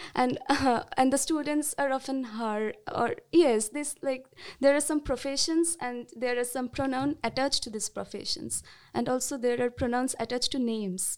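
A woman's high-pitched voice in a Bengali accent at a moderate pace, with ordinary pitch variation. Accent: Indian English, Bengali. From India, West Bengal. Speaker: sociology student. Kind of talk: panel discussion.

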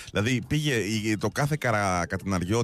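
A man talks with lively intonation. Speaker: radio host. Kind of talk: casual chat.

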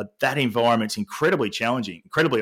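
On a very clean recording with a silent background, a man with an Australian accent talks at a very fast pace. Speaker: sport culture and well-being consultant. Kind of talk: interview.

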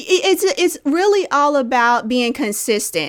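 This woman has an American accent. She speaks at a fairly slow pace. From US Midwest, Indianapolis, Indiana. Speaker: early retiree and personal finance author. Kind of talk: interview.

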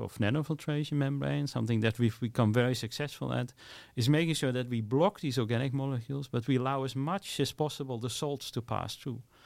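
Talking at a very fast pace with hardly any pauses, a man keeps a medium pitch and ordinary pitch variation. The recording is very clean, with a silent background. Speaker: membrane science professor. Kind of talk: interview. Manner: hesitant, many fillers and repetitions.

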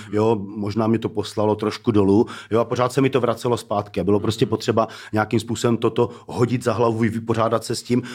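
The man's intonation stays monotone and flat. He talks at a very fast pace. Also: medium pitch for a man. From Czech Republic, Zlín (Moravia). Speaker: rapper. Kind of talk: casual chat.

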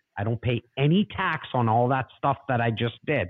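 A man talks with a Toronto accent. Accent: Canadian English (Toronto). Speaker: real estate investor and agent. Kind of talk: casual interview. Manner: animated.

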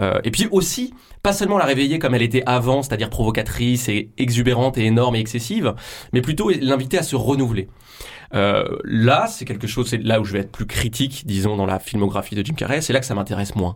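The voice is somewhat breathy, with lively intonation. It moves at a very fast pace. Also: man, medium pitch for a man. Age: 30s. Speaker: film critic and author. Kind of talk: radio interview. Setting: radio studio. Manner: hesitant, many fillers.

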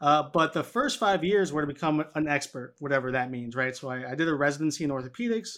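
A man with an American accent at a very fast pace, ordinary pitch variation throughout. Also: very clean recording, silent background. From New York City, Washington Heights. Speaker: physical therapist and health educator. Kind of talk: interview.

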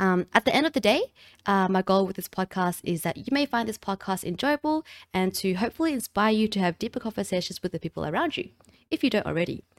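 A woman with an Australian accent speaks very fast at a medium pitch, in a very clean recording with a silent background and a dry, close sound with no echo. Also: lively intonation. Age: 20s. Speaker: podcast host and streamer. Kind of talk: solo podcast monologue, reading from a screen. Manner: casual, chatty.

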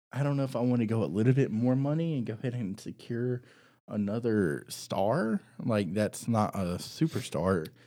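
Speaking at a medium pitch and a moderate pace, a man uses lively intonation in a dark, mellow tone. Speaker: podcast host. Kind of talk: casual chat.

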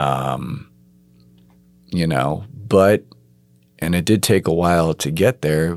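The speaker has an American accent and talks at a very slow pace. Long, frequent pauses recur throughout. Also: man, very deep, low pitch for a man, ordinary pitch variation. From New York. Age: 30s. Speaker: adoptee, artist. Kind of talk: personal testimony interview. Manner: hesitant, many fillers.

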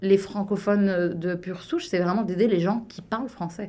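Using a normal speaking voice, a woman talks at a medium pitch with fairly even intonation. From Belgium, Liège area. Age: 30s. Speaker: business consultant. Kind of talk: casual radio interview.

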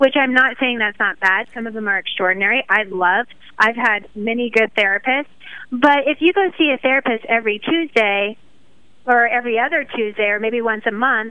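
Talking at a fairly quick pace, a woman uses a plain, everyday voice with a fairly high pitch and ordinary pitch variation. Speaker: holistic health coach. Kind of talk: casual interview chat. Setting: live radio show.

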